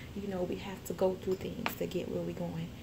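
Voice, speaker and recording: A woman speaks fairly quickly, with noticeable background noise and audible echo from the room. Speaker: youth mentor, nonprofit founder. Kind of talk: motivational vlog talk. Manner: fast; animated.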